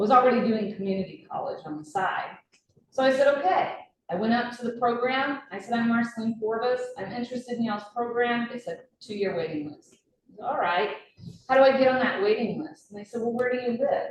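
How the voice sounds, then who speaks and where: Lively intonation and big swings in loudness mark this woman's high voice. She talks at a fairly quick pace in an American accent. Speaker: radiologic technologist. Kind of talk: speech to an audience.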